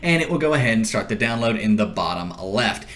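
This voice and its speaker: A man talks at a fairly quick pace with very wide pitch swings, with audible room echo and noticeable background noise. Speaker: tech tutorial youtuber. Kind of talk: tutorial. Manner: fast.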